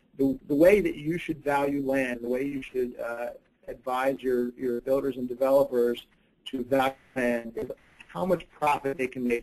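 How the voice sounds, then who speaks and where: This man has an unremarkable speaking voice, with medium pitch, ordinary pitch variation and a moderate pace. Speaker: real estate team leader. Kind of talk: webinar presentation. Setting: live webinar.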